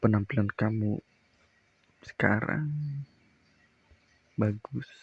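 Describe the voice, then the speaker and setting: Somewhat breathy and fairly low in pitch, a man speaks with fairly even intonation in a dry, close recording with no echo. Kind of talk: ASMR boyfriend roleplay. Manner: soft-spoken, comforting.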